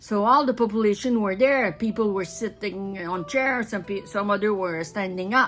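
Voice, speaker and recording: With an Acadian accent, a woman speaks at a fairly high pitch with lively intonation. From northern New Brunswick, Canada. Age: 70s. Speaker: retired wood scaler and anti-spraying activist. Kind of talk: personal testimony. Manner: halting, many repetitions and restarts.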